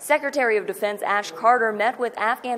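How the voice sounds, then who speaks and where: Against noticeable background noise, a woman of medium pitch speaks at a fairly quick pace with ordinary pitch variation. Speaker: TV news reporter. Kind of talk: TV news report clips.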